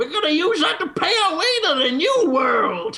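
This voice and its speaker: A put-on character voice speaks at a moderate pace. The pitch is high. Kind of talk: folksy. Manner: excited, hammy.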